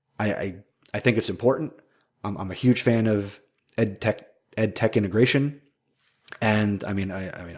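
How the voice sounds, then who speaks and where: This is a put-on character voice, raspy and passionate in tone. It moves at a moderate pace with long, frequent pauses. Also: man, fairly low pitch for a man. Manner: stuttering, stumbling over words, but passionate.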